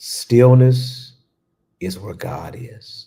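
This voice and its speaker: The man has a dark, mellow tone that sounds soothing. His voice is somewhat breathy. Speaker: spiritual teacher. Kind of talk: guided meditation. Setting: livestream. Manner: low, soothing tone; slow.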